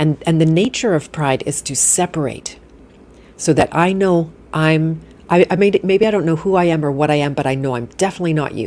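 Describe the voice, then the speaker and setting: With ordinary pitch movement, the delivery runs at a fairly quick pace. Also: woman, very deep, low pitch for a woman. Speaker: podcast host. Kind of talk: live interview conversation. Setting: live stream with online audience. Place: home room. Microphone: studio mic.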